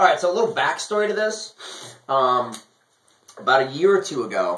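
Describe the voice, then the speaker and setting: A man's high voice with very wide pitch swings, at a fairly quick pace. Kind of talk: casual rant to camera. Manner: rambling, ranting.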